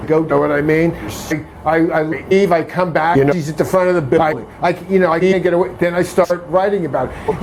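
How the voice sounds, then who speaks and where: Over noticeable background noise and with audible room echo, a man speaks in a high voice. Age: 60s. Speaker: harassment complainant. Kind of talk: casual chat. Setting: at home. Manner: halting.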